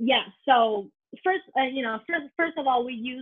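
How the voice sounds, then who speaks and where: A woman talks in a high voice with lively intonation. She keeps a moderate pace. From northern China, Harbin. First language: Mandarin. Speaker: consumer product company co-founder. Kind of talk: interview. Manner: halting, many fillers.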